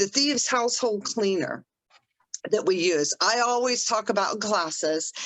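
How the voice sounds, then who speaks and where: A woman's normal speaking voice at a moderate pace, with lively intonation and very even loudness. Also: fairly high pitch for a woman. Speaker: essential oils educator. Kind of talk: online class.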